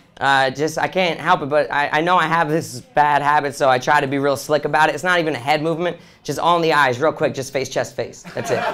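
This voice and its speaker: A man with an American accent talks at a very fast pace in a fairly high pitch, his intonation fairly even, over noticeable background noise. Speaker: stand-up comedian. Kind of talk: stand-up. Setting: stage with audience.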